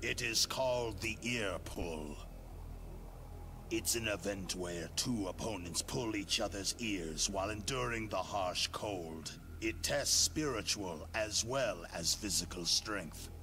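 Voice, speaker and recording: Over loud background noise, a man does a put-on character voice at a fairly slow pace. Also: fairly low pitch for a man. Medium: video game. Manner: measured, solemn.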